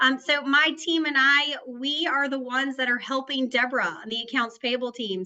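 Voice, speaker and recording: A raised, projected voice in an American accent, moving at a moderate pace with hardly any pauses. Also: woman, high pitch for a woman, ordinary pitch variation. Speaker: payments analyst. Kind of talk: webinar panel chat.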